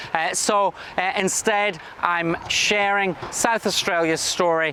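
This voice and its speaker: Someone speaks at a very slow pace, with very even loudness and ordinary pitch variation. Noticeable background noise runs underneath. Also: man. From Scotland. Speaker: state government minister. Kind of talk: recorded conference address.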